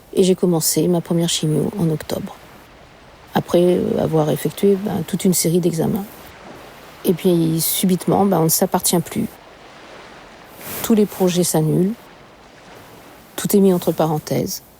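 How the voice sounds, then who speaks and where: A woman speaks at a fairly slow pace and a fairly low pitch, with fairly even intonation. Long, frequent pauses break her speech amid noticeable background noise. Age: 60s. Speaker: cancer patient. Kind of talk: testimony. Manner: halting.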